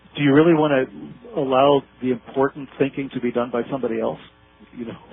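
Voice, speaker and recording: With an American accent, a man talks at a medium pitch and a very fast pace. His intonation is fairly even, and background noise is noticeable. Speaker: researcher and author. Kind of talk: interview on conspiracy and esoteric topics. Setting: phone call. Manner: repetitive, stammering restarts. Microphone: bad phone line.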